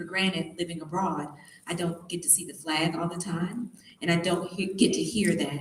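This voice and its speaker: A Tennessee accent at a moderate pace, with fairly even intonation, audible room echo and noticeable background noise. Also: woman. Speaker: motivational speaker, beauty queen. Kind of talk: motivational talk to students.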